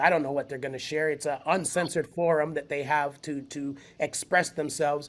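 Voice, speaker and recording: A man speaks in a plain, everyday voice, fairly high in pitch, with fairly even intonation at a moderate pace. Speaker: spoken word poet and event founder. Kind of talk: podcast interview answer.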